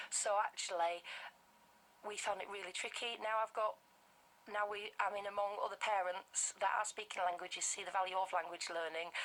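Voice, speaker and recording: A woman with a Bradford accent at a medium pitch, fairly quick pace and flat monotone, amid noticeable background noise. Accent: Bradford, West Yorkshire. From northern England, Bradford, West Yorkshire. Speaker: language teacher for toddlers. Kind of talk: radio interview. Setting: radio studio.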